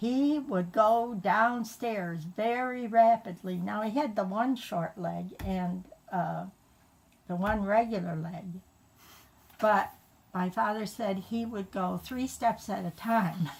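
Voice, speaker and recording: Very slow, somewhat breathy speech with ordinary pitch variation. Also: woman, medium pitch for a woman. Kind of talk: family storytelling.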